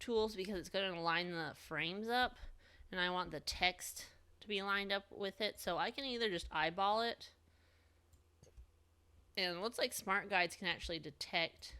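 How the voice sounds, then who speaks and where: Her tone is bright and sharp, at a medium pitch. The woman leaves long, frequent pauses. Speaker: design software instructor. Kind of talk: screen-recorded software tutorial.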